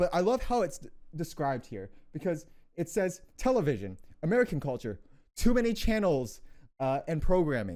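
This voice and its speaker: A man speaks with a high pitch and a dark, mellow tone, making very wide pitch swings and long, frequent pauses. The recording is very clean, with a silent background. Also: moderate pace. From Canada. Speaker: podcast co-host. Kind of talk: casual chat.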